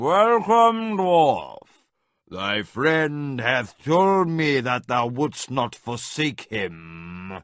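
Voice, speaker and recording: Doing a put-on character voice, a man at medium pitch speaks at a very slow pace with very wide pitch swings. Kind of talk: archaic, formal.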